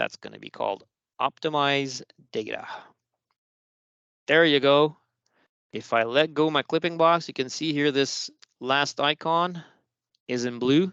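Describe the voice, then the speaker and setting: Over a quiet background with a dry, close sound and no echo, a man speaks in a fairly high voice with a bright, sharp tone, fairly even intonation, and long, frequent pauses. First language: French. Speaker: software trainer. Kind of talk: tutorial. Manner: casual, conversational.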